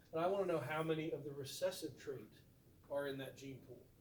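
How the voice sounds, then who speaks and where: With audible room echo, a man speaks at a fairly high pitch with fairly even intonation. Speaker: biology teacher. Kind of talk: recorded lecture. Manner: fast.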